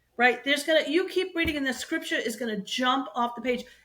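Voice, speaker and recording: A woman speaks in a raised, projected voice with an animated tone. Her tone is also bright and sharp. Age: 60s. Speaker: bridal shop co-owner. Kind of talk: faith testimony interview.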